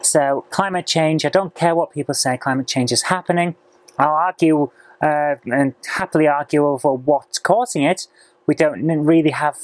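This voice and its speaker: Very deep and low-pitched, a woman speaks at a moderate pace with ordinary pitch variation, in a dry sound with no echo and a quiet background. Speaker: vlogger. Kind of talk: casual vlog chat. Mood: chatty, mildly opinionated. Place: office. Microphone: lapel.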